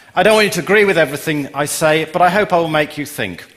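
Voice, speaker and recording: With an English accent, a man rattles along at a very fast pace with lively intonation over noticeable background noise. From England. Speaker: software company CEO. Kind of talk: conference talk.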